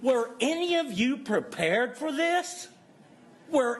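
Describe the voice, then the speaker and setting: Over noticeable background noise, a man talks very slowly in an extremely high voice with lively intonation. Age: 70s. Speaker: public commenter at school board meeting. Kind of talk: public comment speech.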